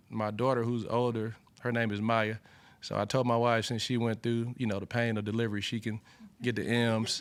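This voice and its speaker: A man speaks in an Alabama accent at a medium pitch and a moderate pace, his intonation monotone and flat. The recording is very clean, with a silent background. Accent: Alabama Southern. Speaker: college football cornerbacks coach. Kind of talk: press conference Q&A. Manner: many fillers and repeated words.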